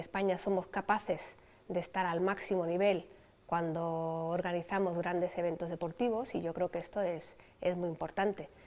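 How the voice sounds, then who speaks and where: With a normal speaking voice, a woman of fairly low pitch talks at a moderate pace with fairly even intonation on a very clean recording with a silent background. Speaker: Olympic sailing champion. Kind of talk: interview answer.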